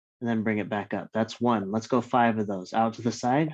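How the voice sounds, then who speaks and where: A man speaks softly. The background is quiet. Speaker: fitness instructor. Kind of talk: live online workout class. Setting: at home. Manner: soft-spoken.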